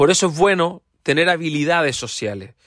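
An animated man's voice at a high pitch. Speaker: podcast host, teacher-focused self-development. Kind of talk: casual monologue.

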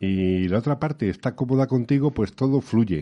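The speaker is a man. He has a plain, everyday voice. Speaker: radio veteran. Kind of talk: interview. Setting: studio.

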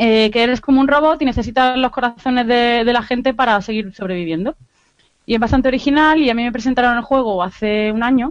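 Very fast in delivery, a woman speaks at a high pitch with ordinary pitch variation. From Andalusia, Granada. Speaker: video game podcast correspondent. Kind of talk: casual chat.

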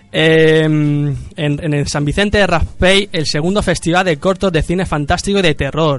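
Over music in the background, a man with a fairly high pitch talks at a moderate pace with fairly even intonation. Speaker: podcast host. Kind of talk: casual chat. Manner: halting, many repetitions.

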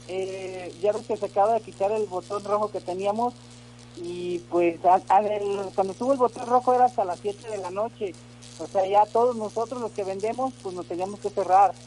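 Noticeable background noise sits behind a man's high-pitched voice. He speaks at a moderate pace with ordinary pitch variation. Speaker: caller, vendor. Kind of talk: casual chat.

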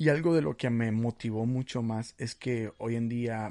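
A man speaks at a medium pitch with a dark, mellow tone and ordinary pitch variation against a quiet background. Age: 20s. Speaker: podcast host. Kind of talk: casual religious podcast monologue. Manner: animated; halting.

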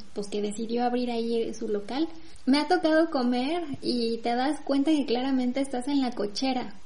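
A woman speaks with a Mexican accent, her pitch high and its variation ordinary. She keeps a moderate pace, and the room echo is audible. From Mexico. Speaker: podcast co-host. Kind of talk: casual chat.

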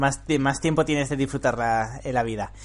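A man speaks in an ordinary speaking voice with a fairly high pitch. His pitch varies in an ordinary way. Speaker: podcast host and programming teacher. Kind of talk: casual interview chat.

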